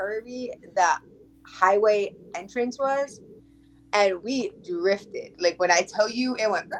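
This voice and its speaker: A woman with an American accent talks at a fairly slow pace. She has an unremarkable speaking voice at a medium pitch. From Connecticut, US. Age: 20s. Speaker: podcast guest. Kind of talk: casual chat.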